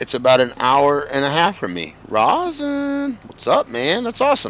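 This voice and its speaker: A man with lively intonation. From New York state, not the city. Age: 40s. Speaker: gaming streamer. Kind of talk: casual live stream chat. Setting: live stream with chat. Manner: casual, halting with fillers.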